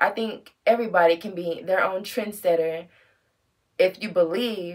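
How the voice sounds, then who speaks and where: The voice belongs to a woman and sits at a medium pitch. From United States. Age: 30s. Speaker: fashion vlogger. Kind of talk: casual monologue vlog.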